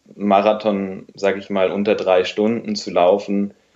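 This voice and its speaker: A man's fairly low-pitched voice at a very slow pace. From Bavaria, Munich area. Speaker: doctor and running coach. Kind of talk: casual interview.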